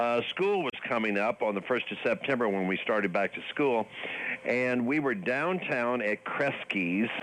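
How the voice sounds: A man speaks at a fairly slow pace, with medium pitch, a fairly bright tone and lively intonation. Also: few pauses.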